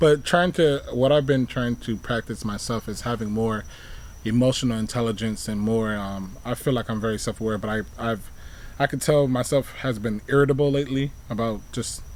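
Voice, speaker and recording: A man at a moderate pace, in a plain, everyday voice. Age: 30s. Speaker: podcast co-host. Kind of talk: casual chat.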